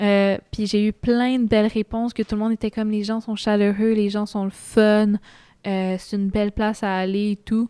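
A woman with a Quebec accent speaks at a fairly high pitch in a dark, mellow tone and a monotone, flat delivery, recorded very cleanly with a silent background and a dry, close sound with no echo. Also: moderate pace. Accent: Québécois French. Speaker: traveller. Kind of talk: casual interview.

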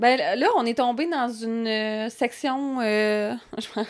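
Speaking very slowly in a Quebec accent, a woman uses a fairly high pitch. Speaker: podcast co-host. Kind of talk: casual chat.

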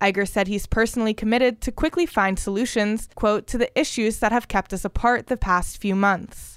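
In an ordinary speaking voice, a woman talks at a fairly quick pace with hardly any pauses and a fairly high pitch. Her pitch variation is ordinary, and the sound is dry and close with no echo. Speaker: student radio entertainment news reporter. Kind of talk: newsreading, brisk polished entertainment news read from a script. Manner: formal, measured.

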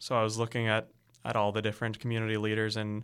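A man's very fast, medium-pitched voice with a Canadian accent, on a very clean recording with a silent background. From Canada. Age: 20s. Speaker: graduate student and political candidate. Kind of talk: interview. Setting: studio.

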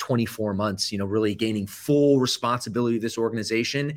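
A man with an American accent talks at a very fast pace. His pitch is fairly low, with ordinary pitch variation. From US, Atlanta suburb then Michigan. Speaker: fitness franchise CEO. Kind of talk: interview.

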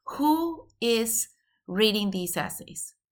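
A woman's bright, sharp tone comes through on a very clean recording with a silent background. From Venezuela. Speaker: college admissions consultant. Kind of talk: interview.

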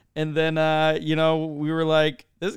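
He has an unremarkable speaking voice. A man's fairly high pitch moves at a moderate pace. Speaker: podcast co-host. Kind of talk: casual interview chat. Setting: video call.

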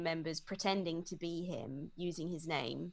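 At a fairly slow pace, a woman speaks with an English accent. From England. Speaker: psychologist and cult survivor. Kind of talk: interview. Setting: video call.

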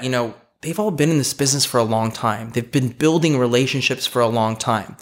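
Ordinary pitch variation runs through this voice, which speaks with a Californian accent. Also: man. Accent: Californian American English. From Los Angeles, California (Eagle Rock). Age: 30s. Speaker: real estate broker. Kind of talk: interview.

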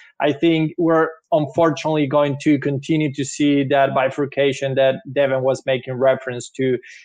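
A man with a strong Venezuelan accent speaks at a moderate pace, his pitch fairly high and his intonation fairly even. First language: Spanish. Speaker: technology investment analyst. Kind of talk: webinar presentation. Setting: video call.

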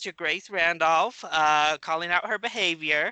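The recording is dry and close, with no echo. A man with a bright, sharp tone speaks at a moderate pace. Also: quiet background. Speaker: movie podcaster. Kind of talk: casual chat.

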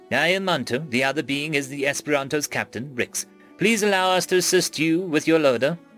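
Over clear music in the background, a man in a put-on, robotic character voice speaks at a fairly high pitch and a fairly quick pace.

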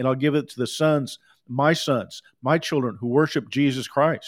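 The man's fairly high pitch comes at a moderate pace. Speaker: preacher. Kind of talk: sermon. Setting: livestream with recording software. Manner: animated.

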